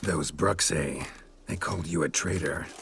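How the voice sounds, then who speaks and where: This is a put-on character voice with a raspy edge. The pace is moderate. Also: man, very deep, low pitch for a man. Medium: video game. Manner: terse, dry.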